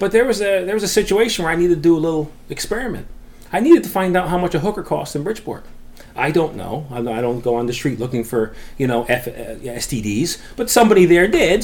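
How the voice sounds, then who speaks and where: Very fast speech with very wide pitch swings over noticeable background noise. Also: man. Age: 40s. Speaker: stand-up comedian. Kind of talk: stand-up comedy bits in a casual podcast chat.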